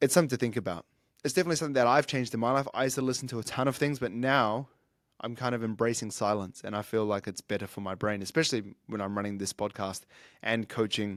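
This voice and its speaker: A man speaks at a very fast pace and medium pitch with ordinary pitch variation, in a dry, close recording with no echo that is very clean, with a silent background. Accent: New Zealand. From New Zealand. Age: 30s. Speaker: fitness coach and podcaster. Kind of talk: solo podcast monologue.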